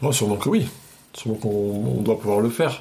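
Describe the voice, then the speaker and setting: A man talks at a fairly quick pace in a fairly low pitch. Noticeable background noise sits behind him. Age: 30s. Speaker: psychiatric nurse. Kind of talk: casual chat. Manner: halting.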